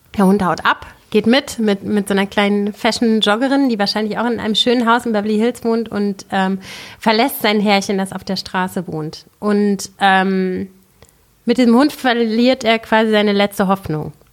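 A woman with an ordinary speaking voice talks at a medium pitch and moderate pace, her intonation fairly even. The recording is very clean, with a silent background. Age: 30s. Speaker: filmmaker and producer. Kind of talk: casual chat.

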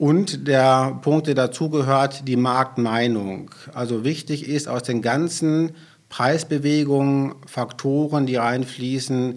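A man speaks at a medium pitch in a plain, everyday voice. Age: 40s. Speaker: utility sales manager. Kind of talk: podcast interview.

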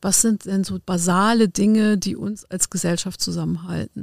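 A woman speaks at a moderate pace with a dry, close sound and no echo. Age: 50s. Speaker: legal guardian and adult educator. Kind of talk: casual chat. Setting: studio. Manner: halting, many fillers.

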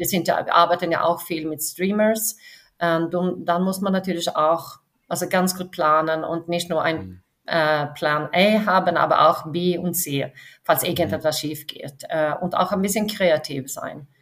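A woman with a Swedish accent speaks at a fairly slow pace. Her pitch is fairly low and her intonation fairly even. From Sweden, west coast near Gothenburg. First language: Swedish (speaking German). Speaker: film studio finance executive. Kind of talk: interview. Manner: halting, many fillers.

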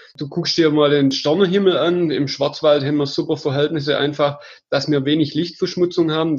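A man has an unremarkable speaking voice. It sits fairly high, with fairly even intonation. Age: 30s. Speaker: hiking tour organizer. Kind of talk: interview.

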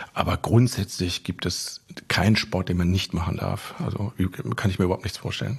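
Speaking at a moderate pace, a man uses a very deep, low voice and fairly even intonation. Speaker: business owner and former athlete. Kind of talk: interview.

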